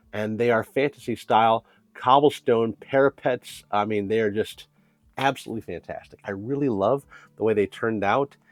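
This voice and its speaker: Over music in the background, the voice shows ordinary pitch variation and sounds dry and close with no echo. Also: man. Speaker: woodcarving youtuber. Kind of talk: tutorial. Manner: casual, friendly.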